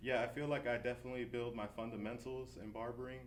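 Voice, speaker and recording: Amid audible room echo, a man talks at a fairly quick pace with vocal fry. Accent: American. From New Jersey, US. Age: 30s. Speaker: barber and shop owner. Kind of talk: interview. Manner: casual, relaxed.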